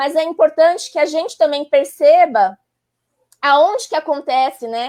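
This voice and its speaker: A woman with a high voice speaks fairly slowly, her intonation lively. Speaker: psychologist. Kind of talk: live stream expert explanation. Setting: online live stream.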